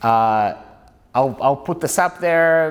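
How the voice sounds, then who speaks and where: A man speaks with a Russian accent. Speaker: author and scholar. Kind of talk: lecture; Q&A answer. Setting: stage with audience.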